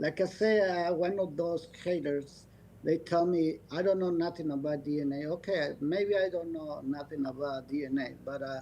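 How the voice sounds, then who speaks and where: A man with a non-native accent, a dark, mellow tone and fairly high pitch, fairly even in intonation, at a moderate pace. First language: not English. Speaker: dog breeder. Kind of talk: podcast interview. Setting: video call. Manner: halting.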